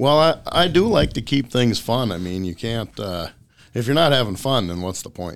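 A man's medium-pitched voice in an Upper Midwest accent, with very wide pitch swings, on a very clean recording with a silent background. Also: moderate pace. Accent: Upper Midwest (Minnesota). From central Minnesota. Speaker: fishing guide. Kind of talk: casual chat.

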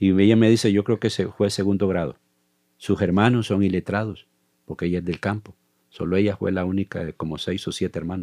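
Speaking at a fairly quick pace, a man uses a fairly low, dark, mellow voice with fairly even intonation. The sound is dry and close with no echo, over a quiet background. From El Salvador, La Libertad. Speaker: church ministry coordinator and missionary. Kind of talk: interview about life story.

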